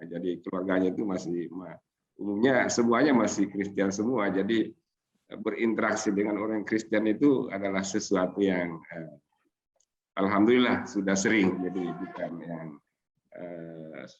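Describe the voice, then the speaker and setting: The loudness rises and falls sharply. Pitch varies in an ordinary way, and the pace is moderate. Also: man, fairly low pitch for a man. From Sulawesi, Indonesia. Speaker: Islamic scholar and seminar speaker. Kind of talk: seminar talk. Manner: halting, many fillers.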